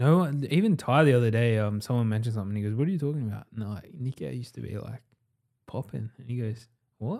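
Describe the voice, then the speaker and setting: A man with an Australian accent talks at a very fast pace in a medium pitch, his dark, mellow tone showing ordinary pitch variation and big swings in loudness. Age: 20s. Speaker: entrepreneur. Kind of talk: casual chat.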